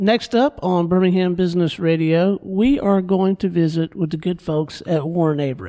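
A man speaks in an American accent at a moderate pace, his pitch high and his tone dark and mellow. His pitch varies in an ordinary way. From Florida Panhandle. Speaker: radio host. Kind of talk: radio interview. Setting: radio studio.

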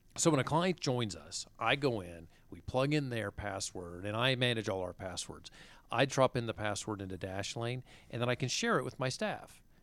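This recording is very clean, with a silent background. A plain, everyday voice talks at a moderate speed. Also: man, medium pitch for a man, lively intonation. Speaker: radio host. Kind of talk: radio interview. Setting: studio.

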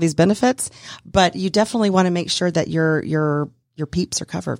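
A plain, everyday voice from a woman with an American accent, medium in pitch and fairly quick, in a dry, close sound with no echo. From US South. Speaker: insurance consultant. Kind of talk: casual interview. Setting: radio studio.

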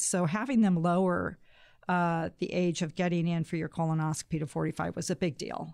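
On a very clean recording with a silent background, a speaker with an American accent uses a normal speaking voice at a moderate pace. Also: woman. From Pacific Northwest US (Spokane, then Boise, Idaho). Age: 60s. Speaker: founder of a colon cancer awareness organization. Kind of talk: radio interview. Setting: studio.

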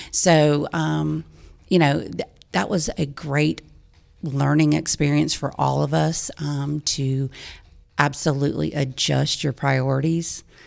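A woman speaks in a Southern US accent. Her pace is very slow. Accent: Southern US (Georgia). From US South, Georgia (Lawrenceville, Gwinnett County). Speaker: nonprofit executive director. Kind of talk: radio interview. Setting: studio.

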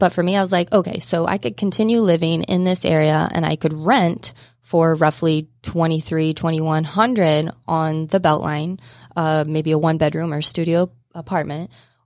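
A woman with an American accent and an ordinary speaking voice talks at a moderate pace and a fairly low pitch. Her intonation is fairly even, and the recording is very clean with a silent background. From southeast Kansas. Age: 30s. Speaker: mortgage lender. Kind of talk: casual chat. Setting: studio.

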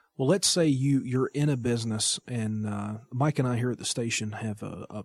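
Somewhat breathy, a man speaks at medium pitch and a moderate pace, his pitch varying in an ordinary way. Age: 30s. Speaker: radio producer and entrepreneur. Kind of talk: interview. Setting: studio.

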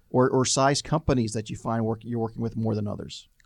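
Over a quiet background, a man talks at a very fast pace in a medium pitch with monotone, flat intonation. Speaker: radio host. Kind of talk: business radio interview. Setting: studio.

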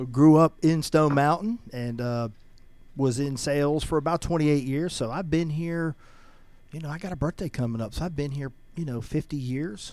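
A man with a Southern US accent and a fairly high pitch, moderate in pace with ordinary pitch variation, on a very clean recording with a silent background. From US South, Georgia. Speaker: nonprofit founder. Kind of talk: interview. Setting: radio studio.

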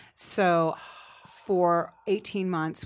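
A woman speaks in a fairly low pitch with fairly even intonation. The recording is very clean, with a silent background. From Cape Cod, Massachusetts. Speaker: real estate business owner. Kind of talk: interview. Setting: studio.

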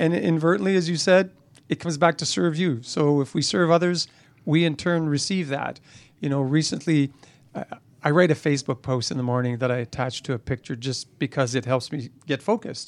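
In a normal speaking voice, a man talks at a fairly quick pace and fairly high pitch, with ordinary pitch variation, in a very clean recording with a silent background. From Canada. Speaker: university vice president, former chiropractor. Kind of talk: interview. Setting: studio.

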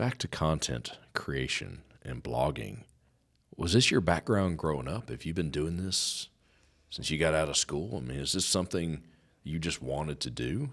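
A man with a very deep, low pitch and vocal fry speaks with lively intonation. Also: moderate pace, very clean recording, silent background. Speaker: business radio host. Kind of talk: radio interview. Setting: studio. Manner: over-enunciates.

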